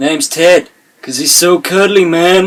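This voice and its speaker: A man puts on a character voice, high in pitch and drawling. He keeps a moderate pace. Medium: cartoon. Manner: drawling, laid-back, ends lines with "man".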